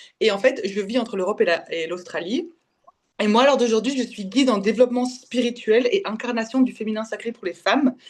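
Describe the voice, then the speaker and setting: A woman speaks fairly quickly in a fairly high pitch with ordinary pitch variation. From Belgium. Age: 20s. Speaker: spiritual development coach. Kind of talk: podcast interview testimony. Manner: halting.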